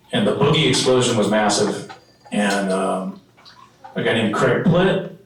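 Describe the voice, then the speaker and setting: Over noticeable background noise and audible room echo, a man with a fairly low pitch talks at a moderate pace with ordinary pitch variation. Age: 60s. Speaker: local surfing historian. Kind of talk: presentation with slides. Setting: dinner event with audience. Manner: casual, halting with fillers.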